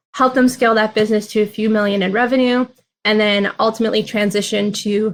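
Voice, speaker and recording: A woman with an American accent, fairly high-pitched, very fast and fairly even in intonation. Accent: slight Minnesota accent, comes out at times. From Minnesota, US Midwest. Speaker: venture capital investor. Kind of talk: interview.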